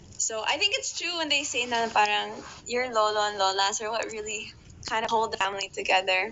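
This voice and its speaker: Over noticeable background noise, a woman speaks at a fairly quick pace, her fairly high pitch showing ordinary variation. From Ireland. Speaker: podcast guest. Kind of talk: casual interview chat.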